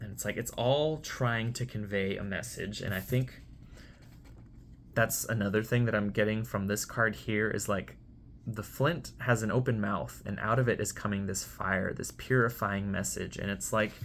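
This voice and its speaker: Vocal fry in a man's fairly low voice, moderate pace and ordinary pitch variation. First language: Spanish. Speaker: tarot reader. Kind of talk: tarot reading monologue. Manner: hesitant, with fillers.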